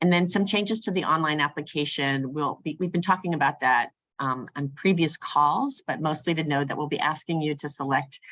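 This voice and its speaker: Her voice is very deep and low for a woman, with a bright, sharp tone. The woman's pitch varies in an ordinary way. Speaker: grant program staff presenter. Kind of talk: webinar presentation. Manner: fast; hesitant with many fillers.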